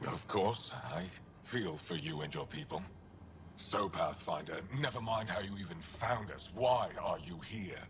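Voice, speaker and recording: A man's put-on character voice, fairly low in pitch, over clear background noise. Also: moderate pace. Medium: video game. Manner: curt, guarded.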